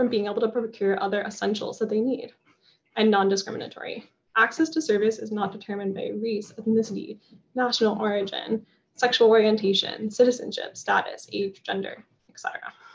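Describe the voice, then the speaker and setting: The speaker has an American accent and a fairly quick pace. The voice is somewhat breathy. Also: woman. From Florida. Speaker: environmental agency staffer. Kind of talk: presentation. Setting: video call.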